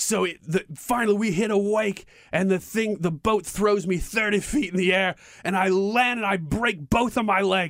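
A man puts on a character voice with high pitch. He speaks at a fairly slow pace. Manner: dramatic, storytelling.

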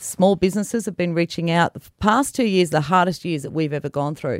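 Here a woman speaks fairly quickly with an Australian accent, at a fairly low pitch. Her pitch varies in an ordinary way, and the sound is dry and close, with no echo. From New South Wales, Australia. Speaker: political candidate. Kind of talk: interview. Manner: passionate.

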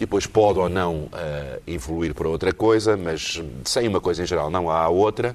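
Moderate pace and ordinary pitch variation in a man's very deep, low voice. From Portugal. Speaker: cultural commentator. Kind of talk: panel discussion. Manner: halting.

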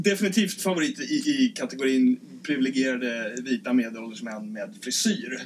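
A man's fairly high voice with very wide pitch swings at a moderate pace, over noticeable background noise. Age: 30s. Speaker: podcast host and nurse. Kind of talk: casual chat. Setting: ship cabin. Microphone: poor sound quality.

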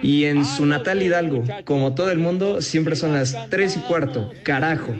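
Music plays in the background as a man with a Mexican accent talks at a fairly slow pace in an animated tone, his loudness very even and audible room echo around him. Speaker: radio sports show host. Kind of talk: casual radio banter.

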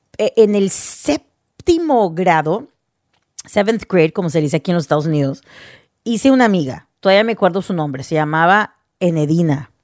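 Fairly low in pitch, a woman with an unremarkable speaking voice talks at a moderate pace with lively intonation, in a dry, close sound with no echo. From US Northeast, New Jersey; teen years in Houston, Texas. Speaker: radio host and podcaster. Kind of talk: personal monologue podcast.

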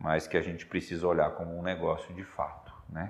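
A man with a very deep, low pitch talks at a moderate pace, his intonation fairly even. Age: 30s. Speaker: agribusiness executive and seed producer. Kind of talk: interview. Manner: halting, frequent repetitions and fillers.

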